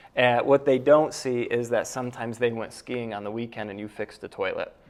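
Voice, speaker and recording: With an American accent, a man talks at a fairly quick pace in a monotone, flat intonation, his loudness swinging widely. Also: medium pitch for a man. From upstate New York (near Cooperstown). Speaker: real estate investor and realtor. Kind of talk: round table discussion.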